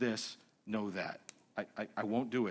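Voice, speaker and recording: The speaker is a man with an American accent. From US Northeast (Massachusetts). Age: 60s. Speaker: seminary president. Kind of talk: lecture.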